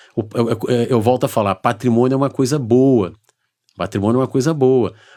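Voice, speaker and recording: A man with a medium-pitched, unremarkable speaking voice talks at a moderate pace in a very clean recording with a silent background. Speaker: lawyer and accountant. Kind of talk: interview.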